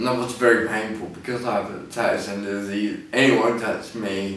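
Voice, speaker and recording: Fairly even intonation at a moderate pace with a southern English accent, plus audible room echo and noticeable background noise. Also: man. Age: 20s. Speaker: person with ataxia, clothing line owner. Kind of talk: personal video testimony. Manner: halting; slurred, may sound drunk.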